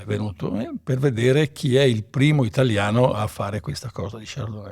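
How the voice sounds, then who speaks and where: This man talks at a fairly quick pace in a medium pitch. His voice is somewhat breathy, with ordinary pitch variation. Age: 60s. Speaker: winemaker. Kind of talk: interview. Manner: halting, many fillers.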